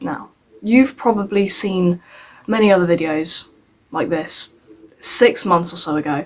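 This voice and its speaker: A woman with an English accent speaks in a fairly low pitch. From England. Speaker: YouTuber. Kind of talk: scripted commentary video. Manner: halting, self-correcting.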